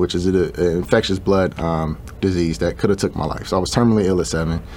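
Noticeable noise lies behind a man speaking with an American accent. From Chicago, US Midwest. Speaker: shoe designer and entrepreneur. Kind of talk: interview.

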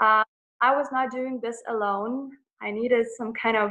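This woman's voice is high in pitch. She speaks with an American accent. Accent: American-sounding English. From Lithuania. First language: Lithuanian. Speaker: holistic coach. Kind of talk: interview. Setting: video call.

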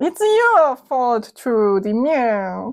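A woman's put-on character voice, high-pitched, in an Italian accent, over a quiet background. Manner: accusing.

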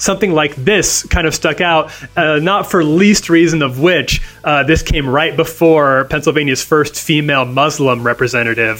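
A man talks while noticeable background noise runs through the clip. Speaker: senior editor, co-host. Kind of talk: news podcast banter. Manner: casual, halting, with filler words.

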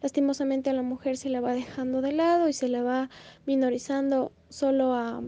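A woman speaks in a high pitch with a dark, mellow tone. Her pace is moderate. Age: 20s. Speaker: law student. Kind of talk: interview.

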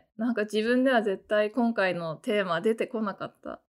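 A woman speaks at a fairly slow pace in a fairly high pitch with ordinary pitch variation. The recording is very clean with a silent background. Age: 40s. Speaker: solo podcast host and novelist. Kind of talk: casual solo talk. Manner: animated.

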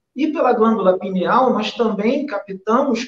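A man with a Rio de Janeiro accent, extremely high in pitch, with ordinary pitch variation. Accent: carioca. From Rio de Janeiro, Brazil. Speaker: spiritualist medium. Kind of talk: spiritual talk in a live stream chat.

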